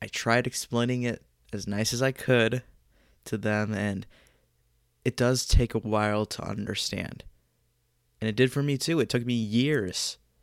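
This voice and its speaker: A man talks at a fairly slow pace with long, frequent pauses. His intonation stays fairly even. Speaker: podcaster sharing personal story. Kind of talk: personal storytelling monologue.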